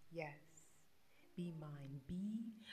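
Over light background noise, a woman's voice comes through somewhat breathy. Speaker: poetry reciter. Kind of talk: poetry reading. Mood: tender, romantic, expressive. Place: home room. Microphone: studio mic.

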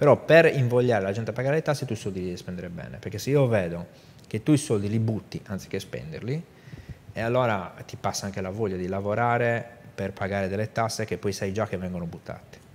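Over light background noise, a man with a fairly low voice rattles along at a very fast pace with lively intonation. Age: 50s. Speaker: business executive; guest. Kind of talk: interview. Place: studio. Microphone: lapel.

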